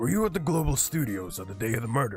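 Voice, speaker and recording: A man rattles along at a very fast pace in a put-on character voice of medium pitch, with faint music in the background. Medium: virtual streamer. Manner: formal, deliberate.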